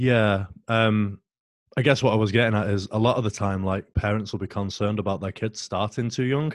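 A man with a fairly low voice speaks at a fairly quick pace. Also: fairly even intonation. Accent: British. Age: 30s. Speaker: powerlifting coach. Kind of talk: casual interview. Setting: video call.

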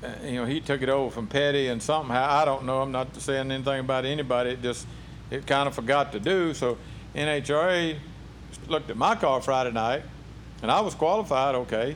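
With a plain, everyday voice, a man talks at a medium pitch and fairly quick pace, using ordinary pitch variation. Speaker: professional drag racer. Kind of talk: casual interview. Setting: racing shop.

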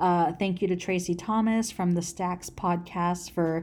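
A woman with a Californian accent, fairly low in pitch, with fairly even intonation at a moderate pace. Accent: Californian American English. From Los Angeles, US. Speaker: podcast host. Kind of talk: solo podcast intro monologue. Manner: casual with many filler words.

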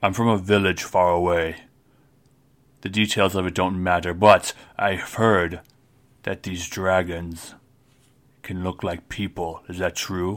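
In a put-on character voice with very deep, low pitch, a man speaks at a fairly slow pace with monotone, flat intonation and long, frequent pauses on a very clean recording, silent background. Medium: actual play. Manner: curt, few words, blunt.

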